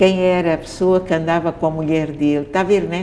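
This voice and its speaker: A woman speaks at a moderate pace in a fairly low pitch with monotone, flat intonation. Noticeable background noise runs underneath. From Mozambique, Maputo. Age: 80s+. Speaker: theatre director. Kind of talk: interview. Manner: halting.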